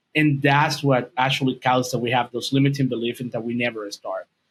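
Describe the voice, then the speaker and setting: In a Dominican accent, a man speaks. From Dominican Republic. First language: Spanish. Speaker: video and podcast editor, English teacher. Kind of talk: podcast interview.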